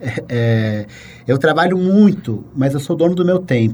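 This man's voice is fairly high and somewhat breathy. His intonation is lively. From Brazil, São Paulo. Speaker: writer, columnist. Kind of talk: casual interview conversation.

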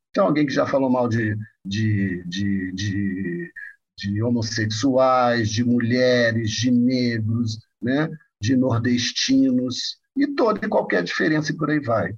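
Speaking at a very slow pace, this man sounds somewhat breathy. His pitch varies in an ordinary way. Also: medium pitch for a man, very even loudness. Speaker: psychoanalyst and professor. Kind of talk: interview.

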